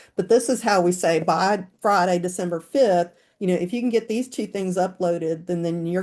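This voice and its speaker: Her dark, mellow tone carries fairly even intonation as the woman speaks. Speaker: school counselor presenting. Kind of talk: webinar presentation. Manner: fast.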